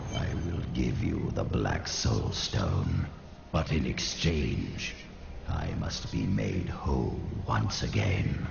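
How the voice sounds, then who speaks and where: In a put-on character voice, a man talks at a very slow pace with slight echo and loud background noise. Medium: machinima. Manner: mocking, insinuating.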